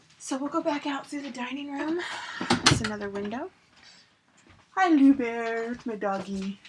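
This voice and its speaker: Lively intonation is broken up by long, frequent pauses, with noticeable background noise throughout. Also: woman, high pitch for a woman, moderate pace. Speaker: lifestyle vlogger. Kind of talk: casual house tour vlog. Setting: at home, walking through house. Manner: quieter while child naps upstairs.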